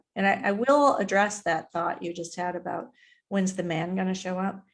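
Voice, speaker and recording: This woman has an unremarkable speaking voice at medium pitch. Her pace is moderate and her intonation fairly even. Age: 60s. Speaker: mindset mentor and author. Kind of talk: interview. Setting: live stream. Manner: casual.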